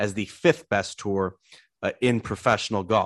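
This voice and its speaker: Against a quiet background with a dry, close sound and no echo, a man with an ordinary speaking voice talks at a moderate pace, fairly low in pitch, with ordinary pitch variation. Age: 30s. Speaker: golf podcast host. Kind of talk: casual chat.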